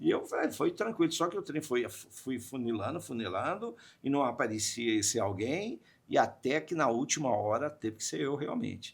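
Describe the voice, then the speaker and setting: The man's voice is animated and fairly high, with very wide pitch swings at a moderate pace. The recording is very clean, with a silent background. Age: 60s. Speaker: radio/media communicator. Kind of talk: podcast interview. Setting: studio. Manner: animated storytelling.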